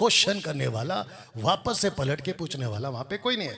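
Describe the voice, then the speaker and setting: A man with a Telangana accent speaks at a fairly high pitch. His pitch swings very widely. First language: Telugu (speaking Hindi). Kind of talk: video commentary rebuttal.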